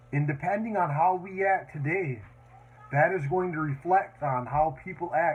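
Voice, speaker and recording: A man with an American accent talks at a fairly slow pace. His voice is somewhat breathy, with ordinary pitch variation. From northern Wisconsin. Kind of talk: campaign speech. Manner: casual, rambling with fillers.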